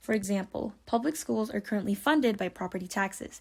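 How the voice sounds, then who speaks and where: Somewhat breathy, a woman speaks at a fairly quick pace in a fairly high voice with ordinary pitch variation. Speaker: ecologist and science communicator. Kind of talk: scripted narration.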